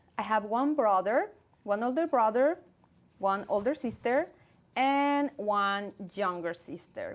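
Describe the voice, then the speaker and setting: Fairly high in pitch, a woman speaks at a fairly slow pace with lively intonation and a slight Mexican accent. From Mexico, Guadalajara. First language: Spanish. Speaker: actress and producer. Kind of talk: casual interview.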